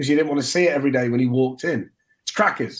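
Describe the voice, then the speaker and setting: A man's fairly high voice with an East Midlands accent. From Nottingham, England. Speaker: sports broadcaster. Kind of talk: casual chat.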